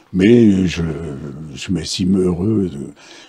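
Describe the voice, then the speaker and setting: A man with a very deep, low pitch at a very slow pace, over noticeable background noise. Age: 80s+. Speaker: martial arts master. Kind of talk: interview answer. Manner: hesitant, repetitive.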